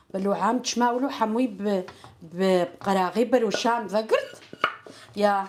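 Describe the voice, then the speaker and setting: A woman's medium-pitched voice at a very slow pace, fairly even in intonation, with long, frequent pauses and noticeable background noise. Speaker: home cook, channel host. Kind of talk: casual chat while cooking. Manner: halting.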